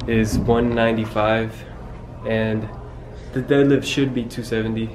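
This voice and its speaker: A man speaks over noticeable background noise. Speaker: vlogger. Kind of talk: casual vlog chat. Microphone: phone near.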